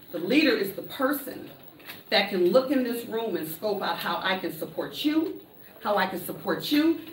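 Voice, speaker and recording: A loud woman speaks in an animated tone with very wide pitch swings. Audible room echo and noticeable background noise fill the recording. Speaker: motivational speaker. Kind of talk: conference talk.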